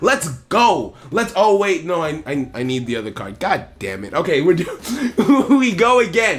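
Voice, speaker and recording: Pitched high and animated, a man talks fairly slowly with hardly any pauses, very wide pitch swings and big swings in loudness over noticeable background noise. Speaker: gaming YouTuber. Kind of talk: casual gameplay commentary. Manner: halting, repeats words.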